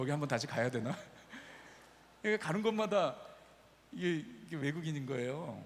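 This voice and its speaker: Fairly high-pitched man with lively intonation, long, frequent pauses and audible room echo. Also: fairly quick pace. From Brazil (Korean immigrant family). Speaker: pastor. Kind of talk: sermon. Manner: casual, anecdotal storytelling.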